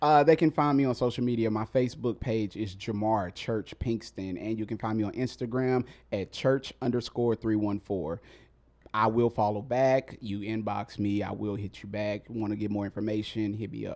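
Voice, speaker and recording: Speaking at a moderate pace with fairly even intonation, a man with a normal speaking voice has a fairly low pitch and an American accent. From Mississippi, US South. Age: 30s. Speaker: rapper and spoken word artist. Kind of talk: casual interview chat. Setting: studio.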